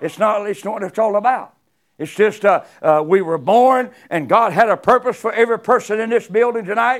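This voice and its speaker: This man's voice sits high. He speaks in a Southern US accent. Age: 70s. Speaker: guest preacher. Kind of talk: sermon. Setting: church. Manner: halting.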